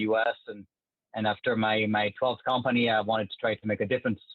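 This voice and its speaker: A man with a French accent speaks at a medium pitch in a monotone, flat intonation. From France. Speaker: government software executive. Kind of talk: podcast interview. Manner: hesitant with fillers.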